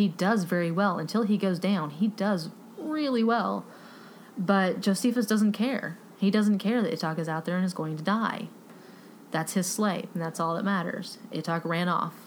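With a Texan accent, the speaker talks at a moderate pace and ordinary pitch variation. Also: woman, medium pitch for a woman. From Texas. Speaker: book podcast host. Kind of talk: casual book review monologue.

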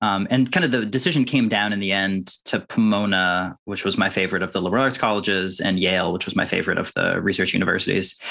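Using a bright, sharp tone, a man talks very fast at a fairly low pitch with ordinary pitch variation and hardly any pauses. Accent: American. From Massachusetts, Boston suburbs. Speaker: math author and teacher. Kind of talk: interview conversation. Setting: video call.

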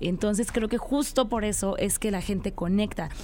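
This woman talks at a moderate pace. Her pitch is medium, with ordinary variation. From Tabasco, Mexico. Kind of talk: casual radio interview. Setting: radio studio. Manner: halting, filler-heavy.

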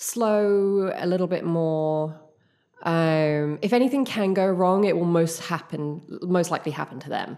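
A woman with an English accent, fairly low in pitch, at a fairly slow pace with ordinary pitch variation. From United Kingdom. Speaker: clown and theatre company founder. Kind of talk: casual interview.

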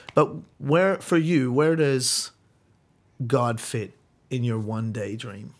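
A man with an Australian accent, medium in pitch with ordinary variation, at a very slow pace with long, frequent pauses. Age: 30s. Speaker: church youth ministry leader and podcast host. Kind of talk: casual interview.

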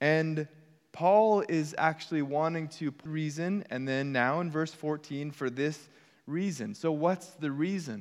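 A plain, everyday voice at a fairly slow pace, ordinary pitch variation and a quiet background. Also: man, fairly high pitch for a man. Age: 40s. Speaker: pastor. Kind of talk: sermon. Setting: church.

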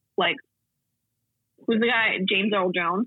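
Slow and gravelly with a slightly husky edge, the voice comes through dry and close with no echo. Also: woman, medium pitch for a woman, ordinary pitch variation.

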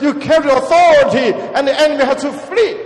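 A man talks fairly quickly in an animated tone, with noticeable background noise behind him. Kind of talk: sermon. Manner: emphatic, animated, call-and-response, repeating key words for the congregation.

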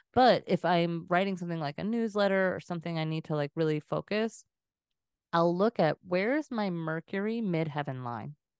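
Against a quiet background, a woman speaks in an unremarkable speaking voice at a fairly low pitch, with ordinary pitch variation and a moderate pace, in a dry, close sound with no echo. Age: 40s. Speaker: podcast host, human design reader. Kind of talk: casual chat.

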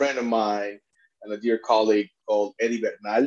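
Speaking at a moderate pace, a man with a Spanish accent uses fairly even intonation. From Puerto Rico. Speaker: immigration attorney and refugee advocate. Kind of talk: interview.

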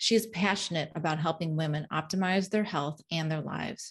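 Against a quiet background, a woman talks at a moderate pace in a somewhat breathy, fairly low voice. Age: 50s. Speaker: podcast host and health coach. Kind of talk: scripted intro; interview podcast.

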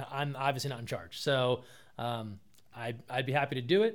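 On a very clean recording with a silent background, a man with an American accent speaks at a medium pitch with ordinary pitch variation. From New Jersey. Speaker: sports communications director. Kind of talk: casual interview. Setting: in person at a college.

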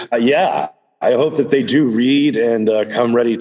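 With an unremarkable speaking voice, a man talks at a moderate pace and a medium pitch. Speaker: podcast host. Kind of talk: casual conversational podcast discussion.

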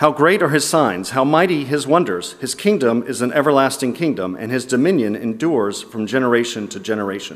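A man's plain, everyday voice at medium pitch, lively in intonation and at a fairly quick pace with hardly any pauses, on a very clean recording with a silent background. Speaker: scripture reader. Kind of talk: reading aloud. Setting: church.

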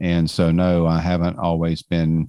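Over a silent background in a very clean recording, a man with a Georgia accent speaks at a moderate pace in a very deep, low pitch with a dark, mellow tone. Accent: Southern American (Georgia). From US South, suburbs of Atlanta, Georgia. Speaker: author and speaker. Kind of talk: interview conversation.

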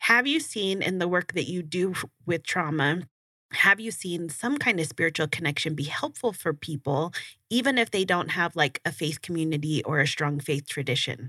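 Bright and sharp in tone, a woman with an American accent speaks at a moderate pace with lively intonation in a dry, close sound with no echo. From Burbank, California, US. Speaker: podcast host. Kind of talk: casual interview.

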